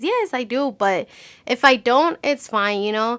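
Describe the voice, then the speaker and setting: In a non-native accent, a woman with a high pitch and a bright, sharp tone speaks at a moderate pace. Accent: non-native English, self-described. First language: Spanish. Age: 20s. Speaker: beauty vlogger. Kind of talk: casual chat. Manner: halting.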